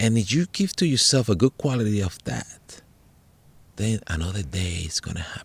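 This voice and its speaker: With a Spanish accent, a man speaks at a fairly low pitch and a moderate pace, somewhat breathy and with very wide pitch swings, in a very clean recording with a silent background. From Puerto Rico, rural hills. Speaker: podcast host and meditation teacher. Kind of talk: casual chat. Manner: halting, repeats words; animated.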